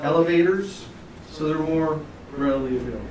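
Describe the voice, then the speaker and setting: Through noticeable background noise and audible room echo, a man speaks at a fairly high pitch with fairly even intonation. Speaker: technical trainer. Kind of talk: lecture. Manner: fast.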